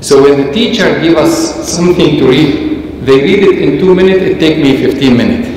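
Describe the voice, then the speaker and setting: A man speaks at a moderate pace. Strong room echo surrounds his voice, with light background noise. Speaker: bishop. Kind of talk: lecture. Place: church.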